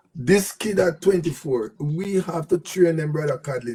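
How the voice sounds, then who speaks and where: A man's somewhat breathy voice at a fairly slow pace, with ordinary pitch variation. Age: 70s. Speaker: cricket commentator, mind power trainer. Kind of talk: live show panel discussion.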